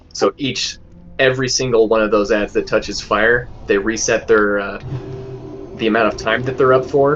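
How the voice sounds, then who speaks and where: A man talks at a moderate speed while music plays in the background. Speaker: raid leader. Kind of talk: casual gaming voice chat.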